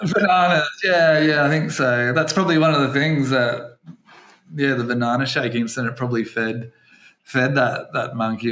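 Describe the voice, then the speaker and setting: Lively intonation from a man with an Australian accent. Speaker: English teacher and podcast host. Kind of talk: casual podcast chat.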